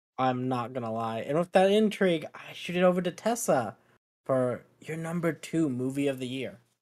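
A man's fairly high voice, a plain, everyday voice, with lively intonation, big swings in loudness and a moderate pace. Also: very clean recording, silent background. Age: 20s. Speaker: podcast host. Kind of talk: casual chat.

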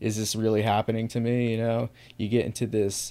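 Speaking in an American accent, a man keeps his voice at a medium pitch. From US Northeast, small town. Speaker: chronic pain sufferer sharing his story. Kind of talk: casual interview.

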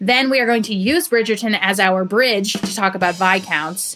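A bright, sharp tone in a New York accent, delivered at a fairly quick pace. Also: woman. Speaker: podcast co-host.

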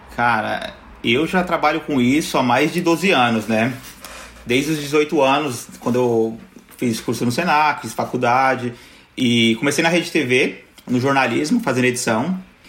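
There is noticeable background noise as a man talks at a fairly slow pace. His pitch is medium, with ordinary variation. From São Paulo, Brazil (Zona Sul). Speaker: YouTuber. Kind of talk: casual chat.

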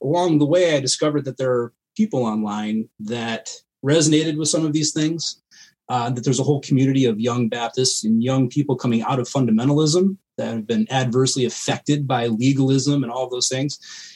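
With an unremarkable speaking voice, a man talks at a fairly quick pace and medium pitch with ordinary pitch variation. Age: 30s. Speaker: meme page creator, combat veteran. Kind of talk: casual chat.

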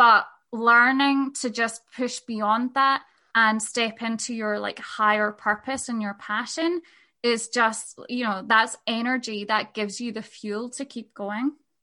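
A woman speaks fairly slowly in a Scottish accent, her pitch fairly high and her tone bright and sharp. Her intonation stays fairly even against a quiet background. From Scotland. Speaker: podcaster and sex work business mentor. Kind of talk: casual interview chat.

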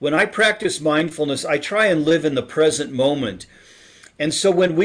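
An ordinary speaking voice: a man at a fairly high pitch, with ordinary pitch variation and a moderate pace. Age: 60s. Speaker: author and speaker on happiness. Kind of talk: interview.

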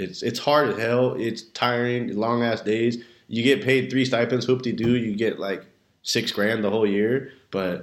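Using an ordinary speaking voice, a man with an American accent talks at a fairly slow pace and medium pitch, his intonation fairly even. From Southern California, Redlands. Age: 20s. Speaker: high school coach and teacher. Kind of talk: casual chat.

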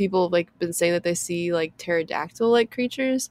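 A woman with an American accent at a fairly quick pace, lively in intonation, in a dry, close sound with no echo. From US Midwest. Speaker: podcast co-host. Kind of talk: casual chat.

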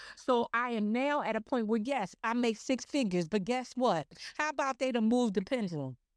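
A woman's fairly high, animated voice at a fairly quick pace, with ordinary pitch variation and very even loudness, dry and close with no echo on a very clean recording over a silent background. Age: 50s. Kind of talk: casual chat. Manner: loud, animated.

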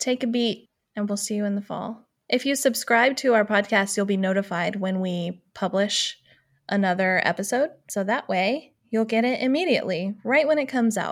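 A woman with an ordinary speaking voice and fairly high pitch speaks at a moderate pace with ordinary pitch variation in a very clean recording with a silent background. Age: 30s. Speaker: podcast co-host, former art business owner. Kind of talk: casual chat.

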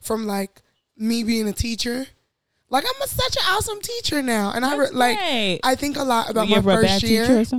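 A woman with a fairly high pitch speaks at a fairly slow pace, her pitch varying in an ordinary way. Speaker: podcast co-host.

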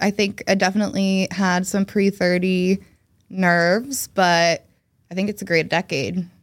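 In a very clean recording with a silent background, a woman with an American accent talks at a fairly slow pace in a plain, everyday voice, her medium pitch carrying fairly even intonation. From New Jersey, US. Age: 30s. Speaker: journalist. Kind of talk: casual chat.

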